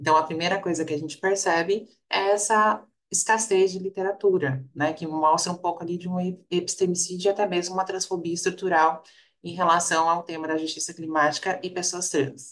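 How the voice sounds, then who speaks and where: Speaking at a fairly quick pace, a woman keeps a fairly low pitch and fairly even intonation. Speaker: researcher. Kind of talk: panel discussion. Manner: fast.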